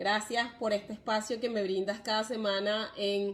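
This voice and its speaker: A woman's medium-pitched voice in a Venezuelan accent, flat and monotone in intonation. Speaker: live stream host on parenting and migration. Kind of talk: live stream talk. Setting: live video stream.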